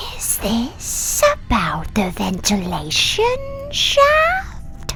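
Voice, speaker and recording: A woman speaks in a put-on character voice at a very slow pace. Loud background noise runs underneath. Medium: audio drama. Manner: formal, speaks of itself as "we".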